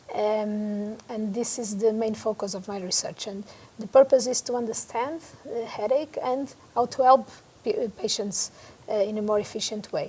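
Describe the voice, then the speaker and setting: A woman speaks with a Portuguese accent at a moderate pace. Her pitch is fairly high and her intonation fairly even. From Portugal. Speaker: neurologist and headache researcher. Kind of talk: interview. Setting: conference venue. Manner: halting, many fillers.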